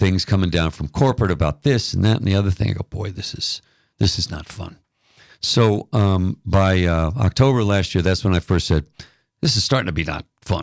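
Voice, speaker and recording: An American accent marks this man's ordinary speaking voice, set at a fairly low pitch. He moves at a moderate pace with ordinary pitch variation. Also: dry, close sound with no echo, very clean recording, silent background. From New York City area. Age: 60s. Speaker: retired radio DJ. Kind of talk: casual interview chat.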